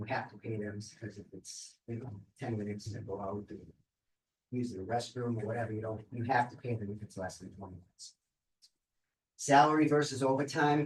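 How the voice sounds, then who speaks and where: A man talks at a fairly quick pace, somewhat breathy, with ordinary pitch variation. His loudness swings widely, and he takes long, frequent pauses. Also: medium pitch for a man. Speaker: labor department investigator. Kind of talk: presentation at a seminar. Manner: fast; many fillers, um and repeats.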